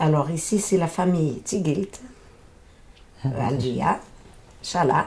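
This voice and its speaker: The speaker goes at a very slow pace with long, frequent pauses, lively intonation and a somewhat breathy sound. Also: woman, very deep, low pitch for a woman. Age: 70s. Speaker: interviewee, translating for her mother. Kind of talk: interview testimony. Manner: halting.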